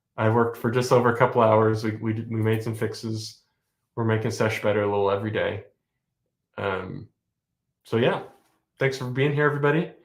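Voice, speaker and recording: Amid audible room echo, a man of medium pitch speaks fairly quickly with fairly even intonation and long, frequent pauses. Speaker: software developer streamer. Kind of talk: casual live-stream chat. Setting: live stream. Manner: fast.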